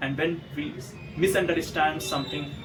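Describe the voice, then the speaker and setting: A man with an Indian accent speaks at a moderate pace with a fairly high pitch. Noticeable background noise runs under his voice. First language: Hindi. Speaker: motivational YouTuber. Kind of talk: motivational monologue. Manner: some hesitations and repetitions.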